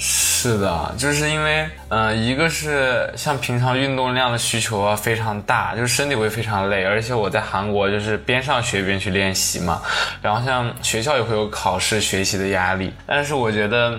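Amid noticeable background noise and audible room echo, the speaker keeps a moderate pace, very even loudness and ordinary pitch variation. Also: man, medium pitch for a man. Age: 20s. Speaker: trainee idol and university student. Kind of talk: casual chat.

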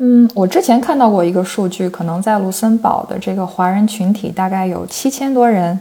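In a normal speaking voice, a woman talks at a moderate pace and medium pitch with ordinary pitch variation and hardly any pauses. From China, Shandong. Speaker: PhD researcher in cross-cultural communication. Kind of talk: casual interview.

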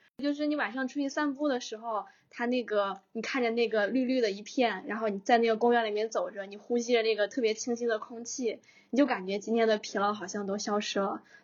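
A woman with a normal speaking voice talks at a fairly quick pace, her fairly high pitch held in fairly even intonation. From northern China. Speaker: podcast host. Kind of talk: casual chat.

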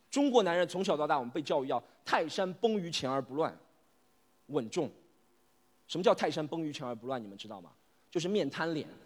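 A man with a fairly high voice talks at a fairly quick pace with lively intonation and big swings in loudness. He leaves long, frequent pauses on a very clean recording with a silent background. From Shanghai, Yangpu district. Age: 30s. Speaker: stand-up comedian. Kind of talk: stand-up. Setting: stage with audience.

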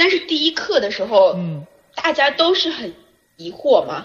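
A woman is speaking. Her pitch moves in very wide swings. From China. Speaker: journalist and film podcast host. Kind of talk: casual chat.

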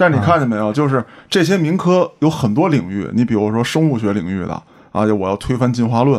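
Using a normal speaking voice at a medium pitch, a man talks at a fairly quick pace with lively intonation. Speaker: podcast host. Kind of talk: casual chat.

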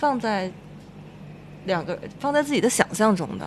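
A woman's fairly high voice, lively in intonation, at a moderate pace. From Beijing. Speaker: podcast co-host. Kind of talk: casual chat.

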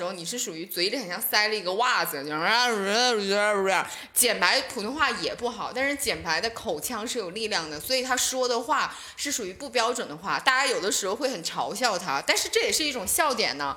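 A woman talks at a fairly quick pace and a fairly high pitch, with very wide pitch swings. Noticeable background noise and audible room echo are present. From Northeast China, Shenyang. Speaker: stand-up comedian. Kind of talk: casual chat.

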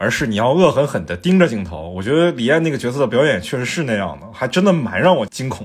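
Speech races at a very fast pace with hardly any pauses. Loudness swings widely, and the pitch swings very wide. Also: man, medium pitch for a man. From mainland China. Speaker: podcast host. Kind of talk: casual film discussion; podcast outro announcement.

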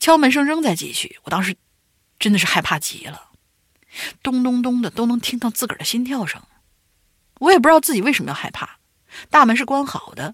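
The pace is fairly quick. Long, frequent pauses break up the speech. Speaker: podcast co-host. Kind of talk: horror story reading and casual chat.

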